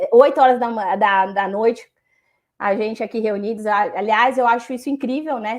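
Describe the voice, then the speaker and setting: A woman's fairly high, plain, everyday voice at a fairly quick pace, with fairly even intonation over a quiet background. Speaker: compliance specialist. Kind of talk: panel discussion.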